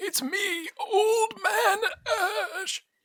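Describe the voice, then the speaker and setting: The voice is extremely high in pitch. It is a put-on character voice. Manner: put-on imitation.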